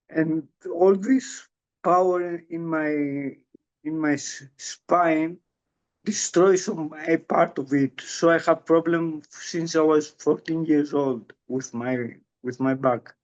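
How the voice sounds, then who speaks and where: Speaking at a very slow pace, a man has a fairly high pitch. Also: ordinary pitch variation. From Greece. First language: Greek. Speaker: strength coach for Parkinson's patients. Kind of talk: interview. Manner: halting.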